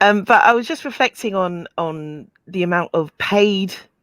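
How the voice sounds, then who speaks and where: Speaking with a British accent, a woman uses lively intonation at a fairly slow pace, in a dry, close sound with no echo. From United Kingdom. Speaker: caller. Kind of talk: call-in chat. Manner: hesitant, many fillers.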